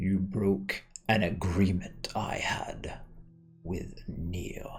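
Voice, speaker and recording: In a put-on character voice, a man speaks very slowly with a menacing tone at a very deep, low pitch. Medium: actual play. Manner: imperious, menacing.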